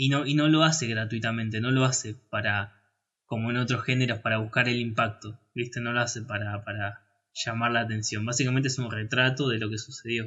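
Speaking at a fairly quick pace, a man with a medium-pitched voice and a Rioplatense accent keeps his intonation fairly even. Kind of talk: casual chat about film. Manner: halting, repeats words, filler words.

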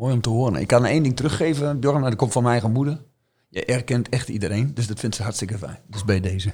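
Very fast and somewhat breathy, a man speaks in a dark, mellow tone. His pitch is medium, with ordinary variation. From eastern Netherlands, Twente (Oldenzaal). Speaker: team coach. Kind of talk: podcast interview.

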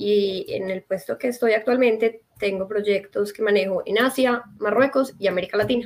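A woman's fairly high-pitched, normal speaking voice at a moderate pace, with fairly even intonation and hardly any pauses. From Colombia, Medellín. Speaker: NGO worker. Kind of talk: interview.

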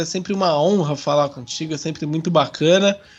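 This man's voice is high in pitch, with ordinary pitch variation and an animated tone. He talks at a moderate pace. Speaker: football podcast host. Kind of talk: casual chat.

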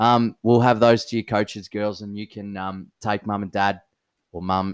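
Recorded very cleanly against a silent background, a man with an Australian accent comes across with a dry, close sound and no echo. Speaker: podcast co-host, local cricket club. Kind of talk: casual chat.

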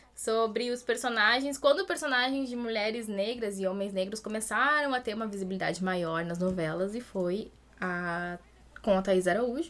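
At a moderate pace and a fairly high pitch, a woman uses a normal speaking voice with ordinary pitch variation. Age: 20s. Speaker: history teacher. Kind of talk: casual interview.

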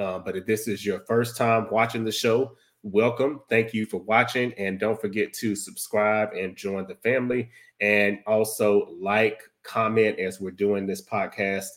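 A man's fairly low voice, monotone and flat, at a fairly slow pace on a very clean recording with a silent background. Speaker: podcast host. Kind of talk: casual podcast talk.

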